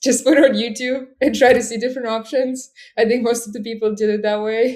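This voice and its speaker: Fairly even intonation in a Russian accent. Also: woman. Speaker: e-commerce seller. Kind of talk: casual interview.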